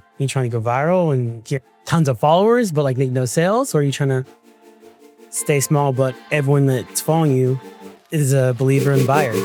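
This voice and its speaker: Music plays in the background as a man talks at a fairly quick pace, his fairly high pitch showing ordinary variation and his loudness very even. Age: 20s. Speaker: creative, content creator. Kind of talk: podcast interview answer. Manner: casual, conversational.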